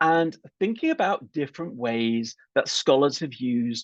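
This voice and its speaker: In a British accent, a man with a fairly high voice talks at a fairly slow pace with lively intonation, the sound dry and close with no echo. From UK. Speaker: political scientist. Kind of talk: lecture. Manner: hesitant, many fillers.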